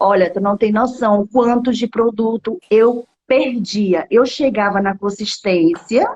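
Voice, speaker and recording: Soft-spoken yet animated, a woman with a fairly high pitch and ordinary pitch variation talks with hardly any pauses in a dry, close sound with no echo. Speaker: home baker starting a cake business. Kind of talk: casual chat. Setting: live video call. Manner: speaking softly.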